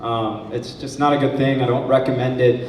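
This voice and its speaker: Audible room echo is heard in the recording, together with noticeable background noise. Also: man. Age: 40s. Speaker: stand-up comedy student. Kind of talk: stand-up. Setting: stage with audience.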